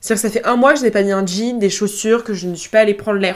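Speaking very fast, a woman keeps her intonation fairly even. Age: 20s. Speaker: student podcaster. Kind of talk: casual monologue. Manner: hesitant.

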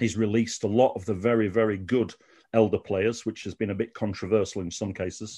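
A man with a Sheffield accent, fairly low-pitched, dark and mellow in tone, flat and monotone, at a fairly quick pace over a quiet background. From Sheffield, England. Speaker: Malmo football fan. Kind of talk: casual interview chat.

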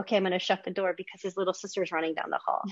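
The woman has an unremarkable speaking voice at a medium pitch. Her intonation is fairly even. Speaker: podcast host, behavior analyst. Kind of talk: interview.

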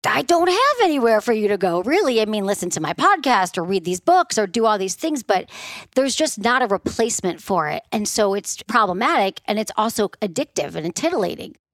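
In a Midwestern American accent, the speaker talks at a fairly quick pace in an animated tone with very wide pitch swings. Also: woman, fairly high pitch for a woman, dry, close sound with no echo. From US Midwest. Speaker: sex therapist. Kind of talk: casual interview chat.

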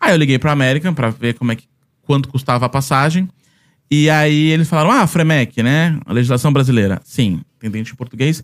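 A man's unremarkable speaking voice, fairly high-pitched, with ordinary pitch variation, at a fairly quick pace, on a very clean recording with a silent background. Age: 30s. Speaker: Disney travel content creator. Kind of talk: casual chat.

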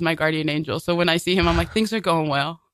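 A woman with an American accent and a fairly low pitch, on a very clean recording with a silent background. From Brooklyn, New York. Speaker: improv performer. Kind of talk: casual radio interview. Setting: radio studio.

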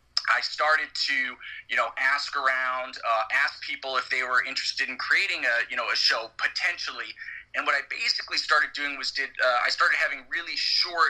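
A man's voice at a moderate pace amid noticeable background noise. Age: 30s. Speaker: MMA podcast co-host. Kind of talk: casual chat.

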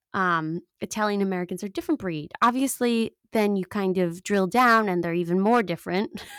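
A woman with a New York accent at a moderate pace, dry and close with no echo. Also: medium pitch for a woman, ordinary pitch variation. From Long Island, New York. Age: 30s. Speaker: podcast host. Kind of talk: casual solo commentary. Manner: animated.

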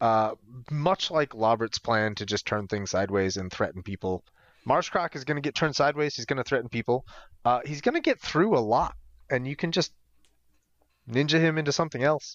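A normal speaking voice from a man with an American accent, medium pitch, lively intonation and a fairly quick pace. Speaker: podcast co-host. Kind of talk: casual chat.

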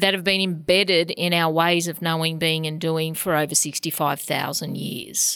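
Here a woman speaks at a fairly low pitch. The sound is dry and close, with no echo. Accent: Australian. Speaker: CEO of a health organisation, keynote speaker. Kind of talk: interview.

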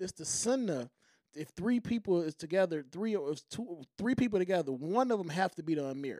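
Here a man with a high pitch talks at a moderate pace with lively intonation, the sound dry and close with no echo. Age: 40s. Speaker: Nation of Islam member. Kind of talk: casual chat.

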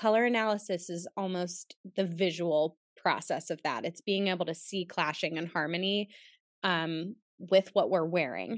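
A woman with an unremarkable speaking voice and an American accent speaks at a moderate pace and fairly low pitch, dry and close with no echo over a quiet background. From Pittsburgh, US. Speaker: personal stylist and color analyst. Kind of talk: casual interview chat.

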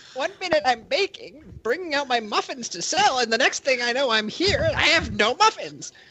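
Someone uses a high-pitched, put-on character voice at a moderate pace. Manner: prim, fussy, comically out of place for his size.

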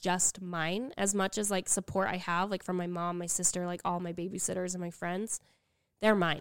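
With an American accent, a woman with a normal speaking voice and medium pitch talks at a moderate pace with fairly even intonation, heard dry and close with no echo on a very clean recording with a silent background. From Utah. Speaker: podcast co-host, young widowed mother. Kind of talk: casual chat.

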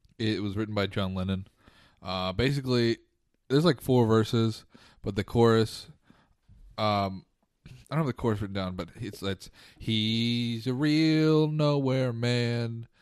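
A man's medium-pitched voice at a fairly slow pace, with long, frequent pauses, ordinary pitch variation and a quiet background. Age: 20s. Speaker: podcast co-host. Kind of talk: casual chat. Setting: studio. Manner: mumbling.

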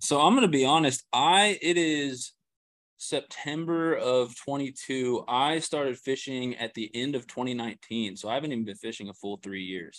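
A man with an American accent speaks at a moderate pace in a medium pitch, his intonation lively against a quiet background. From Kansas City area, Missouri. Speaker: fishing YouTuber and grad student. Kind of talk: casual interview.

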